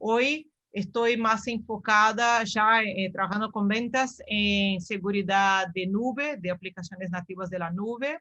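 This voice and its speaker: A woman speaks fairly slowly with a Brazilian accent, hardly pausing at all. Her medium-pitched voice has a bright, sharp tone and ordinary pitch variation. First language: Portuguese (speaking Spanish). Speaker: cybersecurity sales professional. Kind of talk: webinar self-introduction.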